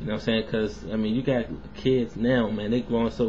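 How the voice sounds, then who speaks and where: The man's voice comes across somewhat breathy. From US South. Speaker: vlogger. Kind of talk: casual video response monologue. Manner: casual, filler-heavy.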